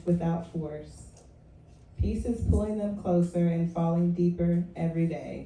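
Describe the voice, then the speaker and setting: Quiet and fairly low in pitch, a woman speaks at a fairly slow pace with fairly even intonation amid audible room echo. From West Virginia. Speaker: poet. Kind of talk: poetry reading. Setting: open mic stage with audience. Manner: low, quiet voice.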